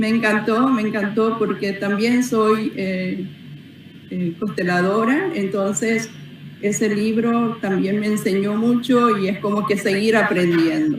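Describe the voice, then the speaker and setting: Speaking very slowly, a woman uses a fairly high pitch and fairly even intonation. Noticeable background noise and audible room echo fill the recording. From Paraguay, Carmen del Paraná. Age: 60s. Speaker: author. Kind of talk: interview. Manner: halting, many fillers.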